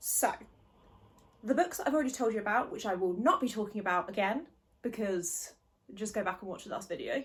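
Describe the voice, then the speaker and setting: A woman's somewhat breathy voice, fairly quick and lively in intonation, broken by long, frequent pauses. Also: fairly high pitch for a woman. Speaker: book vlogger. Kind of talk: casual chat. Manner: chatty, rambling. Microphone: no microphone.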